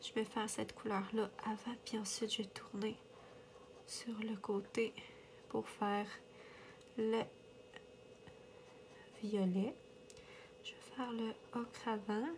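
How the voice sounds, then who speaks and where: A woman talks at a very slow pace, leaving long, frequent pauses. Her somewhat breathy delivery stays monotone, with flat intonation. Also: fairly high pitch for a woman. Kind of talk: casual coloring chat to camera.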